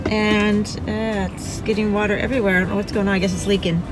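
With clear music in the background and a dry sound with no echo, a woman talks at a fairly quick pace with ordinary pitch variation. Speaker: travel vlogger. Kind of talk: casual vlog chat. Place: car. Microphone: phone near.

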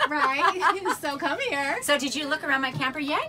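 With clear music in the background, a woman talks at a fairly quick pace. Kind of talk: casual interview chat. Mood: cheerful, laughing. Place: home room. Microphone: phone near.

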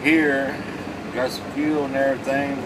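Speech at a moderate pace, with noticeable background noise behind it. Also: man. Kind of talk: casual vlog chat. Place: car. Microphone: phone near.

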